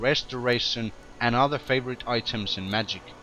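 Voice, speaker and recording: Bright, sharp tone from a man at medium pitch, moderate pace and ordinary pitch variation. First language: not English. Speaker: gaming video commentator. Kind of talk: game tutorial commentary.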